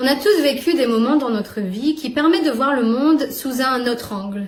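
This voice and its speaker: At a fairly slow pace, a woman talks in an unremarkable speaking voice. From northern France. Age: young. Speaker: YouTuber. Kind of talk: personal vlog monologue.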